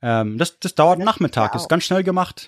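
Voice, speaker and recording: A man with lively intonation in a dry, close sound with no echo, on a very clean recording with a silent background. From US/Munich, Germany (moved between both). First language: English (speaking German). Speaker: history podcaster. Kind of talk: casual chat.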